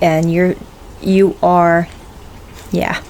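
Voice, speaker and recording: Over noticeable background noise, a woman with a fairly low pitch speaks at a very slow pace in a monotone, flat intonation. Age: 60s. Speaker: YouTuber answering viewer questions. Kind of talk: casual Q&A vlog. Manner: halting, with many fillers.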